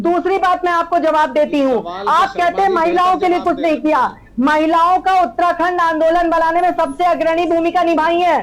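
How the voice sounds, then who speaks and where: Barely pausing, a woman talks in an extremely high voice with fairly even intonation and very even loudness, over noticeable background noise. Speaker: political party spokesperson. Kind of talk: heated debate.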